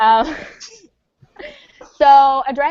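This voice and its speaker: Her voice is high-pitched, and the woman speaks with a slight New York accent. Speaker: drag performer and pop fan. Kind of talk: casual chat. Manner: animated.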